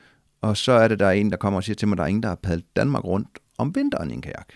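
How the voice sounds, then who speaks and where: A man with a fairly low pitch speaks at a very fast pace, with vocal fry. The sound is dry with no echo over a quiet background. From Denmark. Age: 40s. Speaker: adventurer and former soldier; podcast guest. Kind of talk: casual interview. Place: office. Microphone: studio mic.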